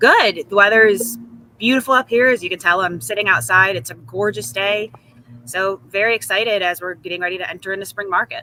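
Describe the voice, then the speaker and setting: A woman talks at a fairly quick pace with an American accent and medium pitch. There is noticeable background noise. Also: lively intonation. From upstate New York, Syracuse. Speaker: real estate agent. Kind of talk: interview. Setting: outdoors on video call.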